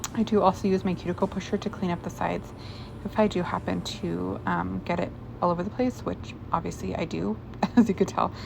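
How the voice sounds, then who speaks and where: Someone talks at a fairly quick pace. Noticeable background noise runs underneath. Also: woman. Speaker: nail tutorial creator. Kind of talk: tutorial. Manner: casual, filler-heavy.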